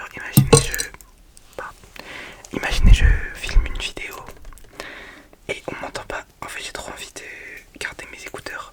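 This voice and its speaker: Against noticeable background noise, a woman whispers at a moderate pace. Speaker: ASMR youtuber. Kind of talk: ASMR whispered chat. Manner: whispering.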